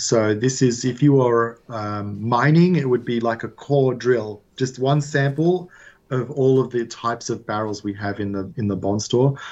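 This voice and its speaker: Against a quiet background, a man with an Australian accent speaks at a fairly slow pace and a medium pitch, with ordinary pitch variation and hardly any pauses. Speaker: whisky distillery founder. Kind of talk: interview.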